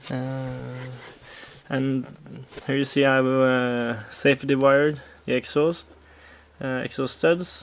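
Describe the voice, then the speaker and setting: Someone with a Norwegian accent speaks at a very slow pace, with long, frequent pauses and noticeable background noise. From Norway. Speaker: moped hobbyist vlogger. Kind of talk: casual vlog tutorial. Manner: halting, many fillers.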